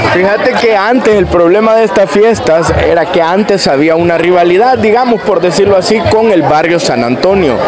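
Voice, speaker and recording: A man at a moderate pace amid loud background noise. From El Salvador, Chalatenango. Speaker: content creator. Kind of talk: casual conversation. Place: street.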